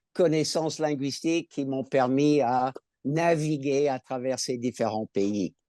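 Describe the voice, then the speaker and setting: With an American accent, a man speaks at a very slow pace in a dark, mellow tone, his pitch fairly high with ordinary variation, the sound dry and close with no echo over a quiet background. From California, US. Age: 70s. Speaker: cancer patient, retired school administrator. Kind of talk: patient testimony in webinar. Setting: online webinar.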